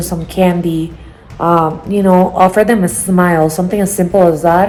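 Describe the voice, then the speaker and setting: A woman with a non-native accent and a monotone, flat intonation. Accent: noticeable foreign. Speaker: travel vlogger. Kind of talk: casual vlog talk.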